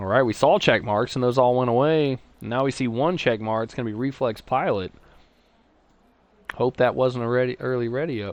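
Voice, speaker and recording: A man with a Texas accent talks at a fairly quick pace in an animated tone, with a medium pitch and ordinary pitch variation. He leaves long, frequent pauses. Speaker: sim racing commentator. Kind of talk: live commentary. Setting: live stream.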